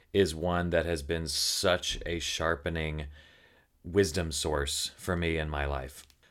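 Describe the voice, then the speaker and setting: Speech comes with a Southern US accent and fairly even intonation. The recording is very clean, with a silent background. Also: man. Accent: faint Southern. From Tennessee. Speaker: podcast host and writer. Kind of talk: casual chat.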